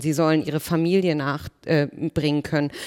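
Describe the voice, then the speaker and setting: On a very clean recording with a silent background, a woman speaks in a very deep, low pitch with monotone, flat intonation. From Germany, Berlin. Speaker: politician. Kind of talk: panel discussion.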